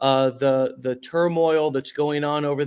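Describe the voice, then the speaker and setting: A man with an American accent speaks at a moderate pace in a fairly high voice with monotone, flat intonation. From United States. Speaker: podcast host. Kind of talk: interview.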